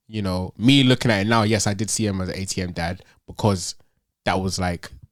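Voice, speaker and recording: Speaking at a fairly quick pace with an African accent and fairly even intonation, the voice comes through a very clean recording with a silent background. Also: man, fairly low pitch for a man. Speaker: podcast co-host. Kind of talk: casual chat.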